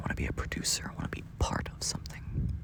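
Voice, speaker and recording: A man whispers at a moderate pace. Background noise is noticeable. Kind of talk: late-night sleep ramble, pillow talk. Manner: quiet, sleepy, rambling, yawning.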